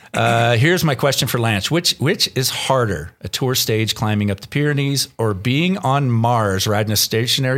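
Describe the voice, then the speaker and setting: A man speaks at a moderate pace, hardly pausing, with noticeable background noise behind him. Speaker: podcast co-host and producer. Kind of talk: casual banter podcast.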